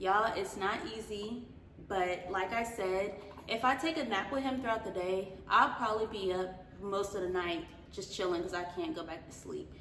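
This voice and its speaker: Ordinary pitch variation marks a woman's speech, heard with audible room echo and noticeable background noise. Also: medium pitch for a woman, moderate pace. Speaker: vlogger. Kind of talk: casual chat. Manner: casual, filler-heavy.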